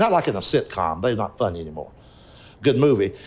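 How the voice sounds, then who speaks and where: In a Southern US accent, a man talks at a very fast pace at medium pitch, with very wide pitch swings and vocal fry. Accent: Southern US (Georgia). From rural Georgia, east of Atlanta. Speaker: stand-up comedian. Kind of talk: interview answer.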